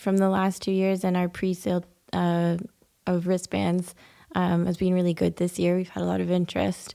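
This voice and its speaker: The voice carries a dark, mellow tone and speaks in monotone, flat intonation with a Canadian accent. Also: woman. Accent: Canadian, noted as a nice lilt. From Canada, Ontario. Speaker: poet and festival volunteer coordinator. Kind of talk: podcast interview. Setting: recording at a historic house.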